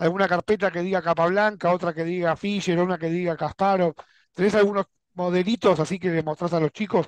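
In an Argentine accent, a man talks at a fairly quick pace with a high pitch and monotone, flat intonation, the sound dry with no echo and the background quiet. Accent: Argentine Spanish (Rioplatense). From Argentina. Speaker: YouTube chess channel host; interviewer, chess show host. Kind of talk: interview. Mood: friendly, cheerful. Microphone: headset.

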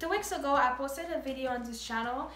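A woman amid light background noise and audible room echo. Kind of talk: product review vlog. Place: home room. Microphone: camera far.

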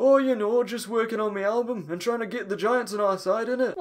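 Putting on a character voice, a man speaks high for a man and at a fairly quick pace. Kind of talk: comic parody voice acting. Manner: chatty, boastful, easygoing.

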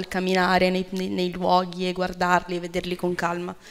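With a middle pitch, a woman talks at an even, middling speed. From outside Italy. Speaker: event moderator. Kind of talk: event moderation and interview. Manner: halting, many fillers. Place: hall. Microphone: podium.

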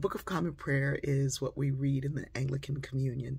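Vocal fry runs through a woman's very deep, low voice. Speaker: inspirational speaker and author. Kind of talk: storytelling monologue. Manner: conversational with frequent fillers. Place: home room. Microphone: phone near.

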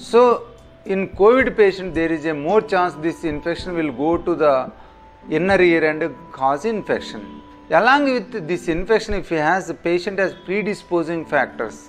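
Faint music plays in the background as a man talks at a moderate pace in a high pitch. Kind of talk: medical explainer to camera. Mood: calm, explanatory. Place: office.

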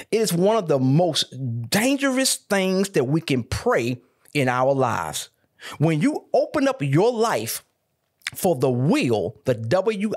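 The background stays quiet. A man's pitch swings very widely as he talks. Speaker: pastor. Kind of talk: sermon. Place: studio. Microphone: studio mic.

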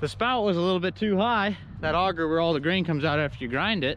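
This man talks at a fairly quick pace with lively intonation. The sound is dry with no echo, over light background noise. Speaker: farmer vlogger. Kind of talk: casual vlog chat. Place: farm machine. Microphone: phone near.

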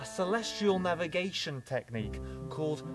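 A man speaks at a moderate pace. Music plays clearly in the background. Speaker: nature channel host. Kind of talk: educational vlog explanation. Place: garden.

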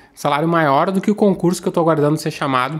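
The man's voice sits fairly high. Its pitch moves in an ordinary way. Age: 40s. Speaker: civil-service exam coach and news presenter; civil-service exam coach, news presenter. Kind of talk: daily news monologue to camera. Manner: animated. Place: home room. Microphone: studio mic.

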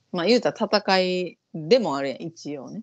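A woman speaks with a Kansai accent, her pitch fairly low and her intonation lively. The background is quiet. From Japan. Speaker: vocal coach and YouTube host; vocal coach, YouTube host. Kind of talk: casual chat reacting to an audition show. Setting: online call. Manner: fast. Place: home room. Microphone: earbuds.

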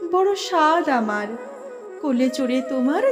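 Someone female is talking. Behind her, music can be heard. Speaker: recitation artist. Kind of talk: poetry reading.

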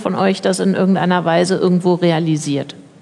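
A woman's voice, with ordinary pitch variation, comes through noticeable background noise. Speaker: radio host and panel moderator. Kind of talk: moderated panel discussion. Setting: stage, livestreamed event.

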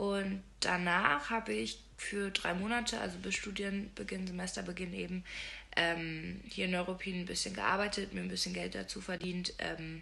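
Speaking at a moderate pace with few pauses, a woman with a fairly low pitch has a bright, sharp tone, vocal fry and fairly even intonation.

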